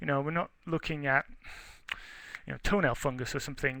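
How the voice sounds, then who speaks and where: In an English accent, a man talks with fairly even intonation. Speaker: research forester. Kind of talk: webinar lecture. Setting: webinar. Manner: conversational, with hesitations.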